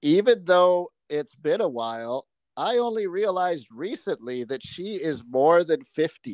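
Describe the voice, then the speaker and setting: On a very clean recording with a silent background, a man with an unremarkable speaking voice talks at a fairly high pitch with lively intonation. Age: 40s. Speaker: podcast co-host. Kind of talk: casual chat.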